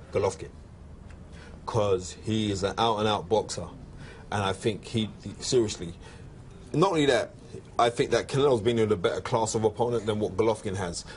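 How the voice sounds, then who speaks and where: Speaking with a British accent, a man sounds somewhat breathy, talking at a fairly quick pace with ordinary pitch variation but long, frequent pauses. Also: fairly low pitch for a man. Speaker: boxing pundit. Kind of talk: casual chat. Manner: animated.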